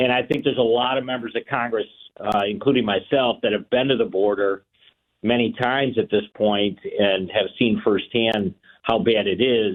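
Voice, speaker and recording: The voice has an American accent and fairly even intonation. The pace is moderate. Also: man, medium pitch for a man. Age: 60s. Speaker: politician. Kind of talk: radio interview. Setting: phone call. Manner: halting, many fillers.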